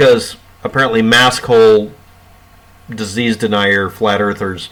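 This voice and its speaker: A man's unremarkable speaking voice, medium in pitch, at a fairly slow pace with fairly even intonation. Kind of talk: casual talk to camera. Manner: sarcastic.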